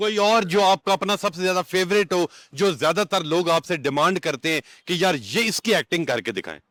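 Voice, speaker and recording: A man speaks with a high pitch and ordinary pitch variation. The very clean recording has a silent background and a dry, close sound with no echo. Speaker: interviewer, channel host. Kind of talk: interview questions.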